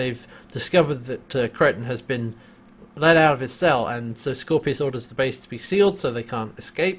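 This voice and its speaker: Fairly quick delivery from a man, somewhat breathy, medium in pitch, with ordinary pitch variation. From UK. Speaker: podcast host. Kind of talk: casual chat.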